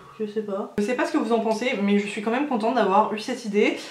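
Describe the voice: In a room with audible echo, the slightly mellow voice runs at a fast pace with fairly even intonation. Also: woman.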